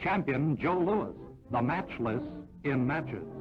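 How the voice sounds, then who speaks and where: A man talks at a medium pitch. Background music can be heard behind him. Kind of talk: 1940s newsreel narration. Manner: brisk, announcer-style.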